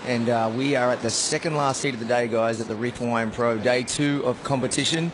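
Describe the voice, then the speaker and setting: With an Australian accent, a man speaks at a fairly quick pace and medium pitch, with hardly any pauses, very even loudness and fairly even intonation, over noticeable background noise. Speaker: surf contest commentator. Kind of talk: live commentary. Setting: commentary booth.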